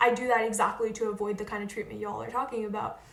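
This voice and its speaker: A woman speaks with an American accent. Audible room echo can be heard. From Northern Virginia, suburbs of Washington DC. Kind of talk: casual chat.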